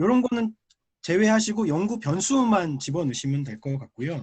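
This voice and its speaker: A man's high-pitched voice with very wide pitch swings, a fairly quick pace and a quiet background. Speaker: professor, paper discussant. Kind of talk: academic conference discussion. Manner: fast.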